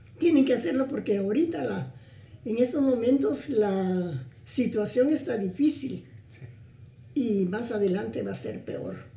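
Room echo is audible as a woman speaks at a fairly slow pace. Her fairly high voice moves in very wide pitch swings. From Guatemala, Suchitepéquez. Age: 80s+. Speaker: grandmotherly family friend. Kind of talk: interview conversation.

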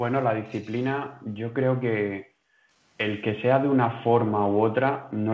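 A man speaks at a medium pitch and a very slow pace. His intonation is monotone and flat. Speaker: movement student. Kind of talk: casual discussion. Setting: video call.

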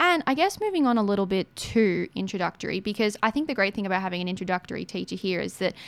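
Talking at a very fast pace with lively intonation, a woman speaks in an Australian accent. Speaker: radio host. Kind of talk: casual interview.

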